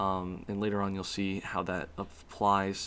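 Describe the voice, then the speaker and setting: The man speaks at a fairly low pitch. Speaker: student. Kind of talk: class presentation. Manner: fast; halting, many fillers.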